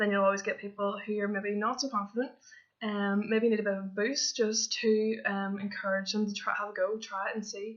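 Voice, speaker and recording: With a Belfast accent, a woman talks at a fairly quick pace and medium pitch, her intonation monotone and flat. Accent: Northern Irish (Belfast area). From Northern Ireland, near Belfast. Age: 20s. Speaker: camp counsellor applicant. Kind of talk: application video monologue. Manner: hesitant, many fillers.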